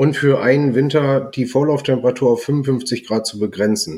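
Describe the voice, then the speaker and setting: Here a man has a normal speaking voice. He talks at a moderate pace with fairly even intonation. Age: 30s. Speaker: heating installer, business owner. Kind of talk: casual interview.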